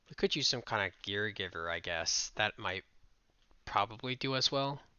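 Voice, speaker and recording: Quietly, a man speaks with lively intonation at a fairly low pitch. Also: moderate pace. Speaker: game developer youtuber. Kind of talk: casual work-along commentary. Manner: halting.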